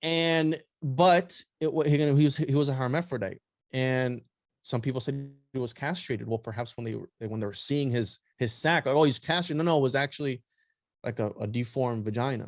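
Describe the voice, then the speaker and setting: Against a quiet background, a man with a non-native accent speaks at a fairly quick pace, his medium-pitched voice showing ordinary pitch variation. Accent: noticeable non-native pronunciation. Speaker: podcast guest, occult history researcher. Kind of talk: casual chat.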